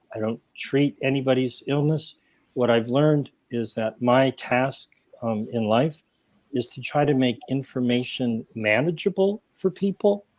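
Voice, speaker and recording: In an ordinary speaking voice, a man speaks at a fairly slow pace and medium pitch with ordinary pitch variation, the sound dry and close with no echo. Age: 60s. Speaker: health writer and activist. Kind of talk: panel discussion.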